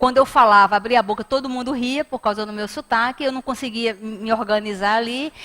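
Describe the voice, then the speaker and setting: Speaking at a very fast pace with a northeastern Brazilian accent, a woman has a high pitch and a bright, sharp tone. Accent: northeastern Brazilian, noticeable. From Brazilian Northeast. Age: 50s. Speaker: spiritist lecturer. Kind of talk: lecture. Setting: spiritist center hall. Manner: animated storytelling.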